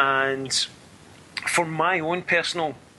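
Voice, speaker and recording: A man with a Scottish accent. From Scotland. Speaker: spiritualist medium. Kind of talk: interview.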